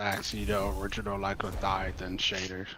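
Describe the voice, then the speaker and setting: Over noticeable background noise, a man talks at a fairly quick pace and a fairly low pitch. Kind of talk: casual chat while gaming. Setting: Discord voice chat.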